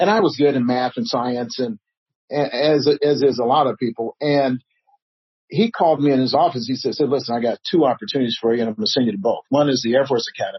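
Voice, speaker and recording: A man with an American accent talks at a very fast pace, his fairly high, somewhat breathy voice carried by lively intonation. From Chicago South Side. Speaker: nonprofit founder. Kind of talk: interview.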